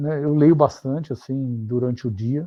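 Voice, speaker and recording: A man is speaking. His pace is very slow. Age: 60s. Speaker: finance executive and consultant. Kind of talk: interview. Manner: halting, many fillers and repetitions.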